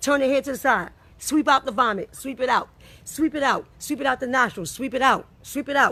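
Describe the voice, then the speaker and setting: A woman's raised, projected voice, high-pitched, bright and sharp, animated in tone and at a fairly quick pace. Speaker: health educator. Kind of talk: tutorial. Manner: fast.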